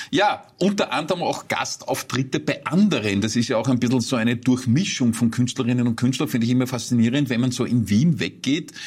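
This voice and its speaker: The man's voice is somewhat breathy, with lively intonation. The recording is very clean, with a silent background. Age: 50s. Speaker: interviewer. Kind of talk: interview. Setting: studio.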